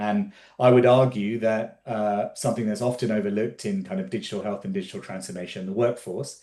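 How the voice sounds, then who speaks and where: A man with an English accent, medium in pitch, dark and mellow in tone, at a fairly quick pace. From England. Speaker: physician and health tech entrepreneur, lecturer. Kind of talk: conference talk. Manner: casual with frequent fillers.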